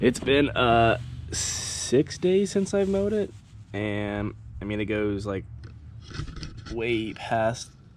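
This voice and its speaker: A man with an American accent, very slow delivery, long and frequent pauses, and noticeable background noise. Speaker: lawn care youtuber. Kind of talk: casual lawn care vlog. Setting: outdoors.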